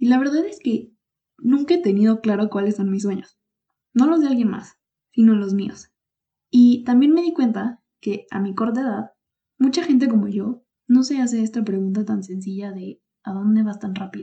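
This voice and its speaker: A woman with a fairly high pitch and a dark, mellow, somewhat breathy tone speaks at a moderate pace with ordinary pitch variation. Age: 20s. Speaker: podcast host and economics student. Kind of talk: solo podcast monologue.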